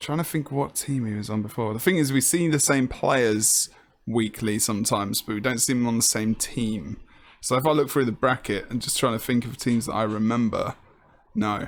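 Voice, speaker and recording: With an English accent, a man speaks at medium pitch and a moderate pace. Pitch variation is ordinary, and the recording is very clean with a silent background. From England. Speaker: esports commentator. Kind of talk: live commentary.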